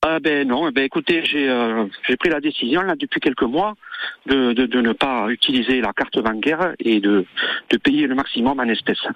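A man at a moderate pace, with ordinary pitch variation and very even loudness. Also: medium pitch for a man. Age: 60s. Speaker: caller. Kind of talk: radio call-in testimony. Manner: halting.

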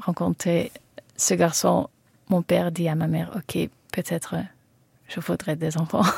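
A woman with a Dutch accent speaks with long, frequent pauses. The sound is dry and close, with no echo. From Netherlands. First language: Dutch (speaking French). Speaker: singer-songwriter. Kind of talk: radio interview. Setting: studio. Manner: halting.

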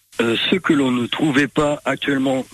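A man talks fairly slowly, with noticeable background noise behind him. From France, Creuse. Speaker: e-scooter tour business owner. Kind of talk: radio interview. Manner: hesitant, with fillers.

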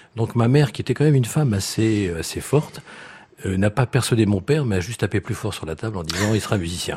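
Noticeable background noise runs under a man's fairly low-pitched voice. He talks at a very fast pace with lively intonation. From France, Reims. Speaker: violist and string quartet teacher. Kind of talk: radio interview. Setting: live radio before audience in hotel. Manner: halting, many hesitations.

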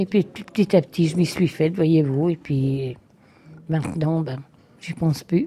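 A woman's very deep, low, somewhat breathy voice in a dark, mellow tone, fairly slow with long, frequent pauses and ordinary pitch variation. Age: old. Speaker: nursing home resident on strike. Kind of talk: interview.

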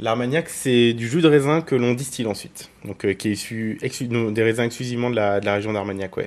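A man with medium pitch talks at a fairly quick pace, with ordinary pitch variation and hardly any pauses. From Burgundy, France. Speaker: wine merchant. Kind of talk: street interview. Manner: hesitant, many fillers.

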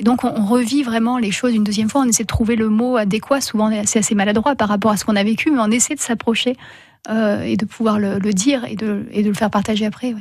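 Somewhat breathy and fairly high-pitched, a woman speaks at a very fast pace with fairly even intonation. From France, Hautes-Alpes. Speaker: rock climber and writer. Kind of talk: radio interview.

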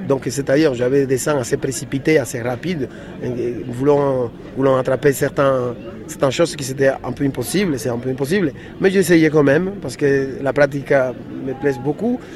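Fairly high male voice at a moderate pace, with ordinary pitch variation and noticeable background noise. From Dominican Republic. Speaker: illustrator. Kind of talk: interview. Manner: halting.

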